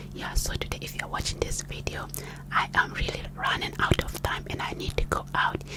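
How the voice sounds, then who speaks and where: A woman whispers at a moderate pace. Noticeable background noise runs behind her. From Ghana. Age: 30s. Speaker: ASMR creator. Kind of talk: personal testimony. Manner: whispered.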